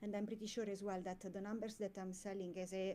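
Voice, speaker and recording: Dark and mellow, a woman's voice with an Italian accent stays monotone and flat. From Italy. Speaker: comic creator. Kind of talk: casual interview chat. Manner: halting, many fillers.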